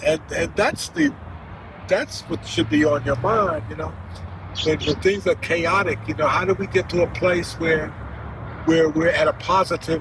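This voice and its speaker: Over noticeable background noise, a man with a high pitch speaks with ordinary pitch variation and long, frequent pauses. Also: moderate pace. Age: 80s+. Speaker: grandfather sharing life wisdom. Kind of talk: casual interview. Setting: outdoors in a park. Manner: halting.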